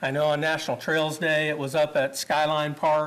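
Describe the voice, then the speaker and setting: Speaking at a fairly quick pace, a man with a Midwestern American accent has a fairly high pitch. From Kansas (Great Bend). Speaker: parks and recreation official. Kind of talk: presentation to city council. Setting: public council meeting. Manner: fast.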